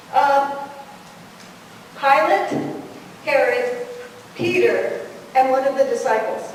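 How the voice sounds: A woman at a high pitch, slow pace, ordinary pitch variation, strong room echo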